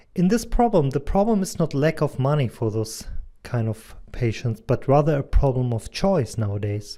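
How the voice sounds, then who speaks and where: A dark, mellow tone with very wide pitch swings and a German accent, on a very clean recording with a silent background. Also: man, fairly high pitch for a man, moderate pace. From Germany, near Hanover. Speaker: digital advertising consultant and medical doctor. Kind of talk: presentation.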